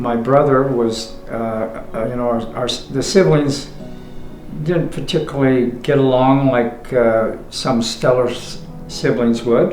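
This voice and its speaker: A man with a western US accent speaks at a very slow pace with ordinary pitch variation. Music plays in the background, and there is audible room echo. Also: medium pitch for a man. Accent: western American. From Utah, Salt Lake City. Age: 80s+. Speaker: interviewee recalling his life. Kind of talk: life story interview. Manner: halting, many fillers.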